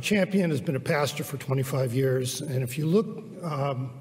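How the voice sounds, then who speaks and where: Against noticeable background noise, a man speaks at a fairly slow pace in a fairly high pitch, with ordinary pitch variation. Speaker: church elder introducing the speaker. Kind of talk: welcome and introduction.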